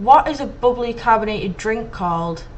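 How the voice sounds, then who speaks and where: Audible room echo around a woman's fairly high-pitched, moderately paced speech. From Manchester, England. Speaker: video blogger. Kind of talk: reading word list, casual vlog. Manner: hesitant, many ums.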